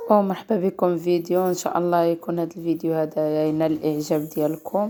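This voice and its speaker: A woman talks at a moderate pace in a fairly low pitch, her intonation monotone and flat. Noticeable background noise can be heard. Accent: Moroccan. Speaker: cooking channel host. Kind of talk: cooking tutorial.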